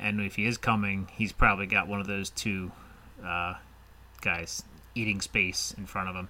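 This man has a plain, everyday voice with a fairly low pitch. He talks at a moderate pace. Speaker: fantasy football podcast host. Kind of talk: casual chat.

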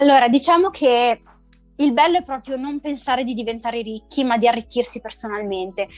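A woman's high voice at a fairly quick pace, with music in the background. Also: ordinary pitch variation. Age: 30s. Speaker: entrepreneur in digital consulting. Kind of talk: interview. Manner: halting.

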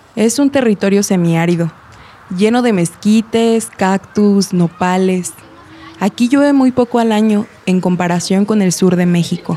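A woman speaks at very even loudness over noticeable background noise. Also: medium pitch for a woman, ordinary pitch variation, fairly slow pace. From Mexico, Guanajuato. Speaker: narrator and community water organizer. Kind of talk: scripted narration.

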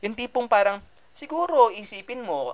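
A man speaks at a moderate pace. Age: 20s. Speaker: podcast host, medical student. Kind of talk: casual monologue. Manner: animated.

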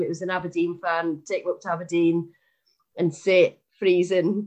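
A woman speaks with a Scottish accent. Her fairly low voice stays flat and monotone. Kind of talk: casual chat.

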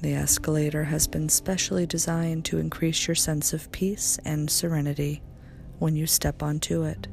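A woman's calm, soothing voice at very even loudness, with music in the background. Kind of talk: guided meditation. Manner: slow, soothing and hypnotic; soft-spoken, calm, gently paced with long pauses.

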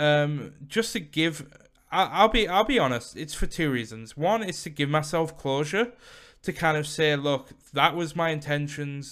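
A man's fairly high, bright, sharp voice at a fairly slow pace, with ordinary pitch variation, in a very clean recording with a silent background. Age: 20s. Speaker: podcast host and former streamer. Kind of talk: solo monologue podcast. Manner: animated.

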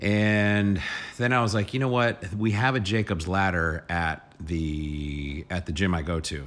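A man talks at a fairly slow pace. His pitch is very deep and low. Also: ordinary pitch variation. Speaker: podcast co-host. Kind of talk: casual chat. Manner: loud.

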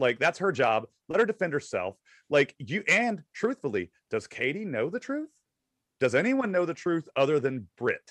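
A man's fairly high, vocal-fry voice at a moderate pace, with very wide pitch swings and a dry, close sound free of echo. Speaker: podcast co-host. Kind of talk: casual chat.

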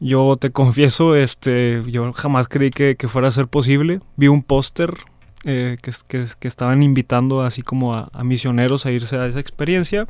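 At a moderate pace, a man speaks in an unremarkable speaking voice with medium pitch and fairly even intonation. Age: 20s. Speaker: seminarian. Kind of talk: testimony.

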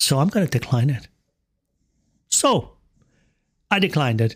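A somewhat breathy man at a moderate pace on a very clean recording with a silent background. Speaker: podcast host. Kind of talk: angry rant. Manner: exasperated, worked-up, swearing; emphatic, blunt.

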